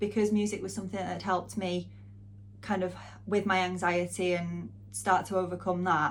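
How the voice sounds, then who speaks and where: A woman speaks with a strong northern English accent. Audible room echo colors the recording. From northwest England, near Manchester. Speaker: music channel host and interviewer. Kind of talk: casual Q&A vlog.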